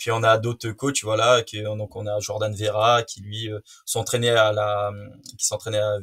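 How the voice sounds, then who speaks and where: Against a silent background on a very clean recording, a man speaks fairly slowly in a fairly low, monotone, flat voice with big swings in loudness. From French Guiana. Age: 20s. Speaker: student and jiu-jitsu practitioner. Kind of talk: interview. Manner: hesitant, many fillers.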